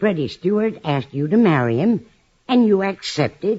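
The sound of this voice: In a put-on character voice, a woman speaks at a fairly slow pace with a fairly low pitch, a slightly husky edge and big pitch swings.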